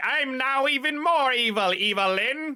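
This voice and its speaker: A man puts on a character voice at an extremely high pitch. He keeps a moderate pace over light background noise. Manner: villainous, gloating.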